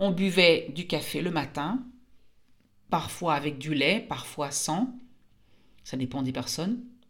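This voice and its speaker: A woman's fairly low voice at a very slow pace, with long, frequent pauses and audible room echo. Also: lively intonation. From France. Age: 50s. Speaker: French teacher and podcaster. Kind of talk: language-learning monologue. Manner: clear and slow.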